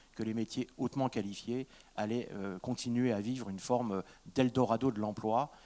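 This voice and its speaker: At a moderate pace, a man speaks at medium pitch with fairly even intonation, the sound dry and close with no echo, and the recording is very clean with a silent background. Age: 60s. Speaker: university president and engineer. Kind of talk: public lecture. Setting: stage with audience. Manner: hesitant, many fillers and repetitions.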